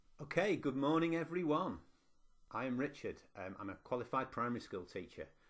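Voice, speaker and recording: The man's voice is fairly high, with vocal fry and very wide pitch swings. He talks at a fairly quick pace. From northwest England, Preston. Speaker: university lecturer and teacher. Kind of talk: conference presentation.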